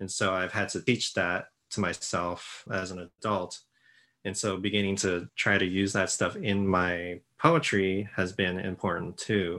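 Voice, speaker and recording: In a Japanese accent, a man with a very deep, low pitch and a bright, sharp tone speaks at a fairly slow pace. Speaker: poet. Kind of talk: interview about his writing.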